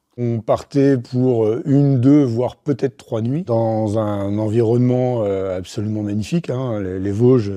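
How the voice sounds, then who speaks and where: Against a quiet background, a man with a dark, mellow tone talks at a fairly slow pace and medium pitch, with ordinary pitch variation and hardly any pauses. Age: 50s. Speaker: ultra-trail runner. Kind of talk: interview testimony. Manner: hesitant, many fillers.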